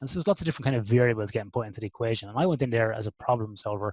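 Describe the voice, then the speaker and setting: In an Irish midlands accent, a somewhat breathy man is heard in a very clean recording with a silent background and a dry, close sound with no echo. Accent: Irish (Athlone). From Ireland (Athlone). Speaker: sleep and performance researcher. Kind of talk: podcast interview.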